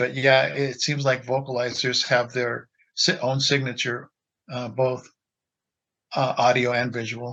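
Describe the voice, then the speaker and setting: A man with a Pacific Northwest accent, bright and sharp in tone, monotone and flat, at a fairly slow pace with long, frequent pauses. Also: medium pitch for a man. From Washington State. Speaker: Bigfoot audio researcher. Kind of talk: casual interview.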